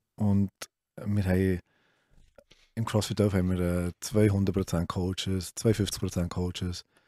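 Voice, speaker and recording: Against a quiet background with dry sound and no echo, a man speaks at a very deep, low pitch in a monotone, flat intonation, very slowly and with long, frequent pauses. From Switzerland, Solothurn; Switzerland. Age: 30s. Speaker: CrossFit gym owner; guest. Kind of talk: casual chat. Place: studio. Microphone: studio mic.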